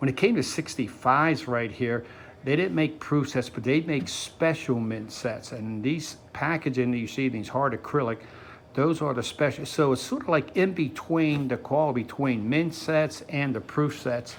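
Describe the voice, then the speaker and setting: This man talks at a moderate pace in a plain, everyday voice, his fairly high pitch rising and falling in an ordinary way. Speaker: coin shop owner. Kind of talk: sales pitch.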